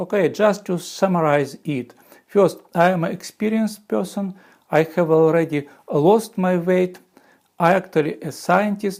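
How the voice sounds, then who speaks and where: With a strong Russian accent, a man speaks at a fairly slow pace with a high pitch and ordinary pitch variation. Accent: heavy Russian. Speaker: former physicist and software engineer. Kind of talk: video explainer. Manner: halting, with fillers.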